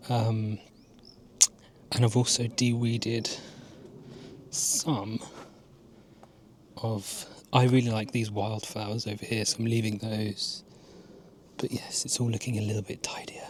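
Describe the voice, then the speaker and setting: A man with an English accent speaks at a fairly slow pace in a medium pitch, his intonation monotone and flat, with long, frequent pauses. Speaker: gardening vlogger. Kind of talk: casual vlog narration. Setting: outdoors in garden at dusk.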